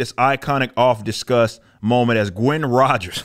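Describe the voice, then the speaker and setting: A man speaks at a moderate pace, and the background stays quiet. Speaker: comic commentary streamer. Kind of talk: commentary. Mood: critical, mocking, exasperated. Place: studio. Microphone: studio mic.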